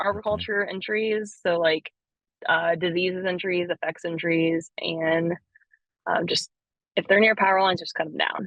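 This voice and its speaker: A woman's medium-pitched voice at a moderate pace, monotone and flat in intonation. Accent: American. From Florida (hometown in Florida, family from North Florida). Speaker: arborist. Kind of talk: casual interview chat.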